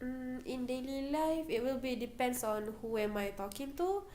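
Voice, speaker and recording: A woman with a Malaysian accent speaks at a moderate pace. Room echo is audible. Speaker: university student. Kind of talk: interview.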